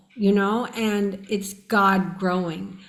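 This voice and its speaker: A somewhat breathy woman's voice at medium pitch, with an American accent and audible room echo. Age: 60s. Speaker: near-death experiencer. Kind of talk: interview.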